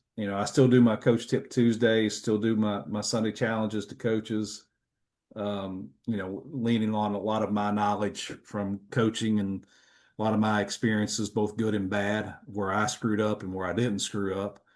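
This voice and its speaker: In a Kentucky accent, a man talks at a moderate pace with fairly low pitch. His intonation is monotone and flat, and the background is quiet. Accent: Kentucky Southern US. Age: 50s. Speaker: retired football coach. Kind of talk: casual chat.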